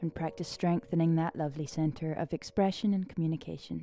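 Music sits in the background as the speech moves at a fairly quick pace with fairly even intonation. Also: woman. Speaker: podcast host and songwriting coach. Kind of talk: casual monologue.

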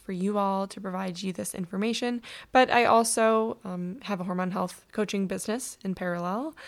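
Medium pitch from a woman, with ordinary pitch variation and a moderate pace, in a very clean recording with a silent background. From US Midwest, Michigan. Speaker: podcast host and hormone coach. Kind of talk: solo podcast talk, informational. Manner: casual, conversational with fillers.

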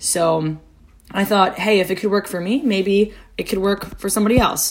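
A woman with a normal speaking voice, a moderate pace and ordinary pitch variation. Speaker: podcast host. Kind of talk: casual podcast introduction. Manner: casual, conversational, with many filler words.

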